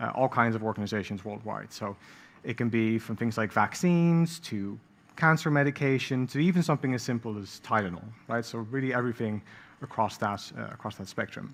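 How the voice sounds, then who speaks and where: Talking at a fairly quick pace, a man speaks with a Dutch accent. His medium pitch has ordinary variation. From Netherlands, The Hague. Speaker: product design director. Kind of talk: conference talk. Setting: stage with audience. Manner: hesitant, many fillers.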